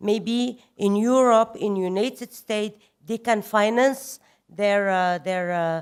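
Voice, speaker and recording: A woman speaks at a fairly slow pace with a non-native accent. Her fairly high pitch shows ordinary variation, and the recording is very clean with a silent background. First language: French. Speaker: government official. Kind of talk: conference speech. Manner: halting.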